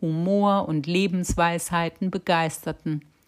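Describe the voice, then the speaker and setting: Recorded very cleanly with a silent background, a woman speaks at a very slow pace in a fairly low pitch with fairly even intonation. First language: French (speaking German). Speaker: podcast host. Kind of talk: scripted narration.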